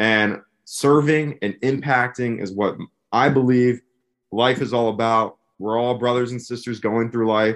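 A man with an American accent has an ordinary speaking voice, medium pitch and fairly even intonation. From US Northeast, Philadelphia area. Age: 20s. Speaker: van-life traveler. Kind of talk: casual chat.

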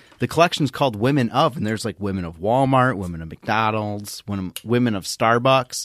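This man has a normal speaking voice at a medium pitch with ordinary pitch variation. He talks at a fairly quick pace with hardly any pauses, and the sound is dry and close with no echo. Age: 30s. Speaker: podcast co-host. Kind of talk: casual chat. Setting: video call.

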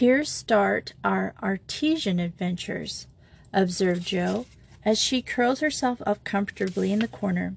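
Someone here is doing plain reading aloud.

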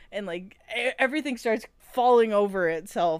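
There is noticeable background noise as a woman speaks at a medium pitch with lively intonation. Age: 20s. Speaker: podcast co-host. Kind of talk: casual chat, retelling a fanfiction story.

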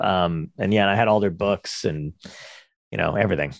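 A man with an American accent and a plain, everyday voice, fairly low in pitch, at a fairly quick pace. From New Jersey. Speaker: comedian. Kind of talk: casual chat.

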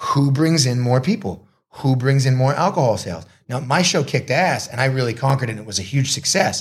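This man speaks at a very fast pace with lively intonation. His voice sits at a medium pitch and sounds somewhat breathy. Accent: American. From US Northeast, Marblehead, Massachusetts. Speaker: combat sports promoter and announcer. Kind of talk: casual interview. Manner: talkative, rapid with many restarts.

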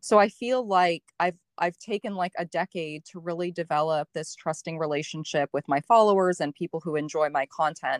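Delivered at a moderate pace with hardly any pauses and ordinary pitch variation, a plain, everyday voice comes through dry and close with no echo on a very clean recording with a silent background. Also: woman, fairly low pitch for a woman. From Canada. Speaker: blogger and online group founder. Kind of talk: casual interview chat.

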